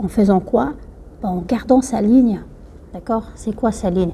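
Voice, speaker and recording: The speaker moves at a moderate pace with ordinary pitch variation, and there is noticeable background noise. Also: woman. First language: Somali (speaking French). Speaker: YouTuber giving life advice. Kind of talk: talk to camera, advice. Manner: hesitant, many fillers.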